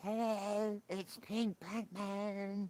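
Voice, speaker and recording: A put-on character voice sits at a fairly high pitch. The intonation stays monotone and flat. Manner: put-on gravelly superhero voice.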